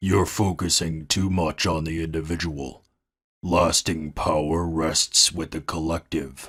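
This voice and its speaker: A man's put-on character voice, very deep and low, monotone and flat, at a fairly slow pace in a very clean recording with a silent background. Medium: fan dub. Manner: grave, declamatory.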